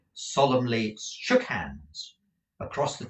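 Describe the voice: Against a quiet background, someone gives a plain reading aloud.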